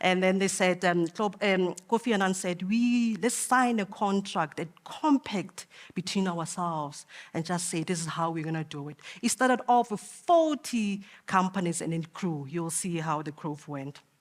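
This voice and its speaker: A woman with an ordinary speaking voice talks at a medium pitch with lively intonation. The recording is very clean, with a silent background. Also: moderate pace. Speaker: conference speaker for a business sustainability network. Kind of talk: conference presentation.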